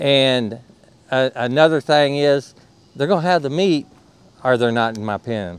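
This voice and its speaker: With an American accent, a man talks at a fairly slow pace with long, frequent pauses and ordinary pitch variation, in a dry sound with no echo. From Indiana. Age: 60s. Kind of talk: casual interview. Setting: outdoors at a hound event. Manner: halting, repeats words. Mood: relaxed, reflective, folksy. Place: open country. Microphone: lapel.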